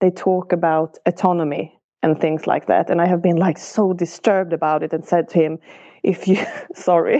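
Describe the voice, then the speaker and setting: Speaking with a non-native accent at a moderate pace, the voice keeps very even loudness and fairly even intonation. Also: woman. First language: not English. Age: 40s. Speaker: podcast guest sharing relationship story. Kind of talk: coaching conversation.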